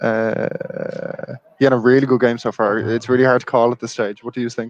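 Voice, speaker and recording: A man with an Irish accent, medium in pitch, flat and monotone, at a fairly quick pace. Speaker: football channel presenter at the match. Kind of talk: casual chat.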